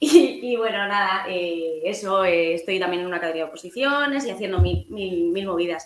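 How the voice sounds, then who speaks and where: Against noticeable background noise, a woman speaks at a moderate pace with hardly any pauses. Her pitch sits in the medium range. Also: lively intonation. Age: 20s. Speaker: primary school teacher. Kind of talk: interview.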